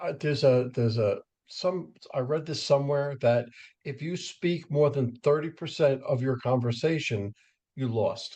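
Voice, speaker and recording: Somewhat breathy and dark, mellow in tone, a man with a fairly high pitch speaks at a fairly slow pace with ordinary pitch variation. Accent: American. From New York suburbs. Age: 60s. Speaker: podcast host and professional speaker. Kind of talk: casual interview. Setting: podcast interview.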